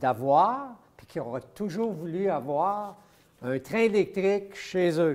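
At a very slow pace, a man speaks in a high voice with very wide pitch swings and big swings in loudness. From Quebec. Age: 70s. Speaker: model train collector. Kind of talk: casual interview, showing his collection. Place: hall. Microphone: lapel.

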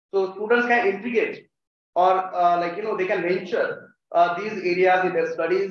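With audible room echo, a man with an Indian accent and a high pitch speaks at a moderate pace with fairly even intonation. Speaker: college faculty, event host. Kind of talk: formal welcome speech. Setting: stage with audience. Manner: formal. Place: hall. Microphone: podium.

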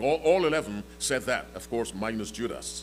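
A man talks rather slowly while music plays in the background. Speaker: preacher. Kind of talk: sermon. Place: church. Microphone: podium.

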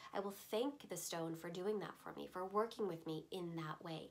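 A woman talks in a calm tone at a moderate pace. Her pitch varies in an ordinary way. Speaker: voiceover artist, crystal teacher. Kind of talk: instructional explanation to camera. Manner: calm, conversational. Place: shop.

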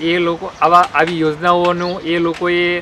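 The man's voice sits high in pitch. There's noticeable noise in the background. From Gujarat, Botad district. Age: young. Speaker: dairy farmer. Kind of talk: interview testimony.

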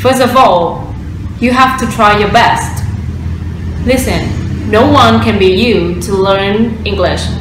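Speaking at a very slow pace with long, frequent pauses, a woman is heard through audible room echo and noticeable background noise. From Vietnam. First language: Vietnamese. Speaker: former student of an English course. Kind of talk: course testimonial. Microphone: webcam.

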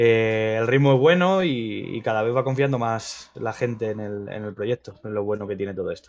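With hardly any pauses, a man talks at a moderate pace in a medium pitch with ordinary pitch variation. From Madrid, Spain. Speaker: crypto streaming show co-host. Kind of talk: news reading; casual live stream chat. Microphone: video call.

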